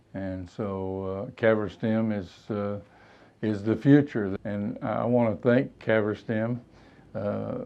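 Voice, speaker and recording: A man talks at a very slow pace. Music plays in the background. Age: 70s. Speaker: patient giving testimonial. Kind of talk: testimony. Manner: hesitant, many fillers.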